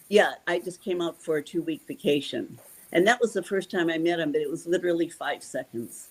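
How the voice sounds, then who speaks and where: A woman's unremarkable speaking voice, fairly low in pitch, with lively intonation and a fairly quick pace. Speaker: Elvis fan and friend. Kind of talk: interview.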